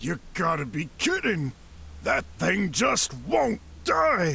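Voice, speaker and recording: A man's raspy, put-on character voice at a very slow pace, over clear background noise. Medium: video game.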